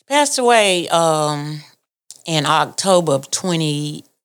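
A woman with a very deep, low pitch and a Southern US accent speaks at a very slow pace, with ordinary pitch variation. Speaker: family member. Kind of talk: storytelling.

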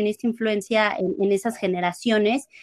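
A woman speaks with a fairly high pitch and ordinary pitch variation. The sound is dry and close, with no echo. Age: 30s. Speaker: academic content editor, music fan. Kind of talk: casual chat.

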